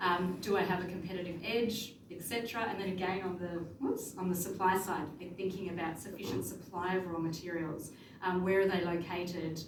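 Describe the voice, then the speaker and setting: A woman talks with fairly even intonation and hardly any pauses. Noticeable background noise and audible room echo fill the recording. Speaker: conference presenter, researcher. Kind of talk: conference presentation. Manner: fast.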